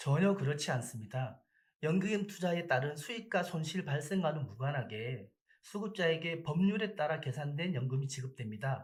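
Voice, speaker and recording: A man's somewhat breathy, fairly high voice, lively in intonation, at a moderate pace. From Busan, South Korea. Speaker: public agency PR officer. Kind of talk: radio interview. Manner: formal.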